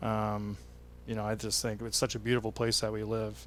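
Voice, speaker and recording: At a moderate pace, a man speaks with a Western Canadian accent. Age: 30s. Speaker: tourism association president. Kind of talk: casual interview. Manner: hesitant, many fillers.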